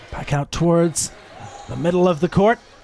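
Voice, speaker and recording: Noticeable background noise fills the recording. Through it, a man keeps a moderate pace. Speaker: sports commentator. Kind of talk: live commentary.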